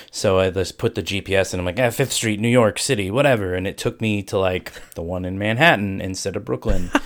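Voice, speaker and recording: A man with an American accent talks in an unremarkable speaking voice, fairly low-pitched with ordinary pitch variation, at a fairly quick pace. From US Ohio. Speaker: streamer. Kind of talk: casual chat.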